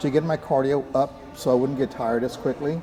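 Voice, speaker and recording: A man talks at a fairly quick pace. Background noise is noticeable behind him. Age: 70s. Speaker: Brazilian jiu-jitsu practitioner. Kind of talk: interview. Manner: halting, many fillers.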